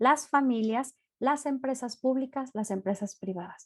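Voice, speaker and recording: A woman's high-pitched voice at a fairly slow pace, ordinary pitch variation and a quiet background. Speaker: university lecturer and tutor. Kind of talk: online lecture.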